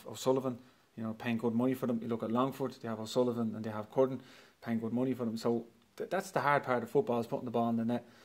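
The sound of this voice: A man talks at a fast pace with a slightly mellow tone and little pitch movement.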